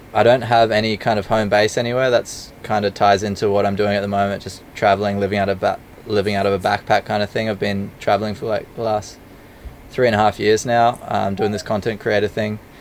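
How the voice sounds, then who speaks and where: The speech moves at a fairly quick pace. Its intonation is monotone and flat. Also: man, fairly low pitch for a man. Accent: Australian. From Australia. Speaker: travel filmmaker. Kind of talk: casual interview chat.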